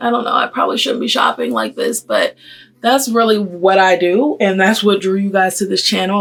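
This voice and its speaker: A woman's plain, everyday voice at a medium pitch and fairly quick pace, on a very clean recording with a silent background. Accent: American. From US South, Atlanta. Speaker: beauty and fashion vlogger. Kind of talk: casual chat while doing makeup.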